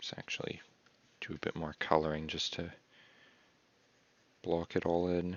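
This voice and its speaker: A man whispers and mumbles at a moderate pace. He leaves long, frequent pauses. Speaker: artist streamer. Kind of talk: casual live-stream commentary while drawing. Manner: soft-spoken; mumbling.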